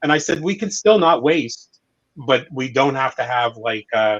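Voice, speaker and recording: Here a man is speaking. His pace is moderate. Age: 60s. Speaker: podcast host. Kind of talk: round table discussion. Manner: halting, many repetitions.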